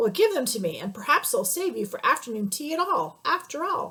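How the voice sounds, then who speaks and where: Using a put-on character voice, a woman talks at an extremely high pitch and a fairly quick pace. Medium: read story. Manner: loud, blustery.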